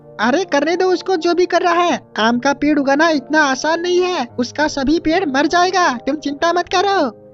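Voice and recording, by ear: Over clear background music, a woman uses a cartoonish character voice pitched extremely high, moving at a moderate pace.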